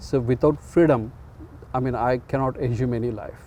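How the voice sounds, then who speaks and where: In an Indian accent, a man speaks at a fairly slow pace. His medium-pitched voice has a dark, mellow tone. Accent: Indian English (Telugu). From India, Andhra Pradesh. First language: Telugu. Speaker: community organizer and chess club founder. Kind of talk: interview. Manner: halting, many fillers.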